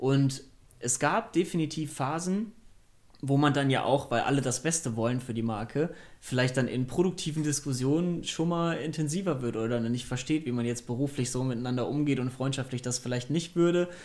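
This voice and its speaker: A man talks in a plain, everyday voice, pitched fairly high. He keeps a moderate pace with ordinary pitch variation. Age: 20s. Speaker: startup co-founder. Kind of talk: interview.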